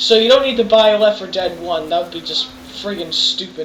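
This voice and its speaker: The speaker talks at a fairly quick pace in an American accent with ordinary pitch variation. Noticeable background noise is present. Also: woman. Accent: wavering between English and American. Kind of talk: video game review commentary. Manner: casual, rambling.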